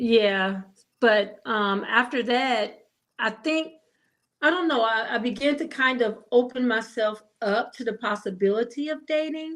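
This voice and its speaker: A woman with an American accent has an unremarkable speaking voice at a fairly high pitch. She talks at a fairly slow pace with ordinary pitch variation. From Ohio. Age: 60s. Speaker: widowed caregiver. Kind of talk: interview. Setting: live stream.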